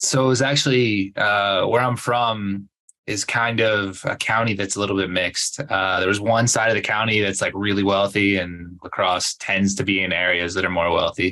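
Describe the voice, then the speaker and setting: An American-accented man with a fairly low pitch and a bright, sharp tone talks at a moderate pace with hardly any pauses, his loudness very even and his intonation fairly even. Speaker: entrepreneur and former athlete. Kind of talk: casual interview.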